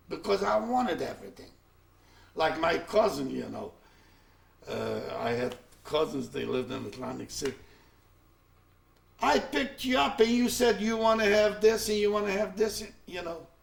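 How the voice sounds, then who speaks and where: Against noticeable background noise, a man with a high pitch swings very widely in pitch and takes long, frequent pauses. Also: moderate pace. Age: 70s. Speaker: Holocaust survivor. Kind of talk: testimony. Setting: recorded interview. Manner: halting.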